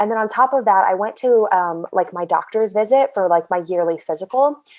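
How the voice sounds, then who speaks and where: Fairly quick American-accented female speech, medium-pitched with ordinary pitch variation, over music in the background. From US Midwest, Southern Illinois. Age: 20s. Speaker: eating disorder survivor interviewee. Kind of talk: interview testimony.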